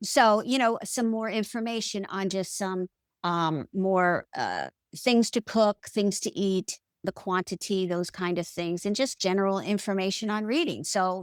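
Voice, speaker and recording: A woman's medium-pitched, plain, everyday voice at a moderate pace, with ordinary pitch variation, a dry, close sound with no echo and a very clean recording, silent background. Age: 60s. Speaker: podcast guest, health coaching client. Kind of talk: casual interview chat. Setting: podcast interview.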